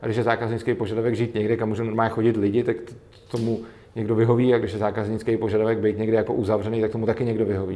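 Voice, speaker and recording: Dark and mellow in tone, this man's voice sits at medium pitch. His intonation is flat and monotone. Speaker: anarcho-capitalist commentator. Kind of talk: interview. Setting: studio.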